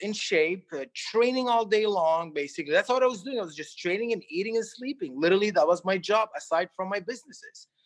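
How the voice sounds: A man speaks at a high pitch. His tone is fairly bright.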